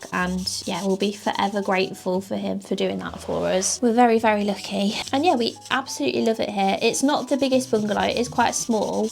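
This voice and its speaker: A woman with a British accent talks at a moderate pace with hardly any pauses, over noticeable background noise. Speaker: small business owner and vlogger. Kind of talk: casual chat to camera. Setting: home office.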